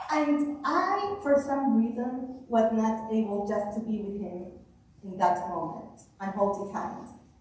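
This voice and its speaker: A woman at a fairly high pitch and fairly slow pace, with lively intonation, big swings in loudness, and audible room echo. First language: not English. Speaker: author and speaker. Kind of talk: talk to a club audience.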